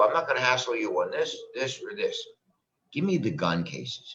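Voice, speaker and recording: A man talks at a moderate pace. He speaks with an American accent. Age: 60s. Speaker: defense attorney and political candidate. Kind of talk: interview.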